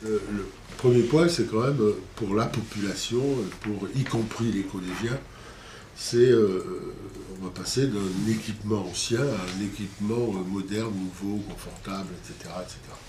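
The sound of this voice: Recorded with audible room echo, a man with a fairly low pitch and a slightly mellow tone talks at a moderate pace with ordinary pitch variation.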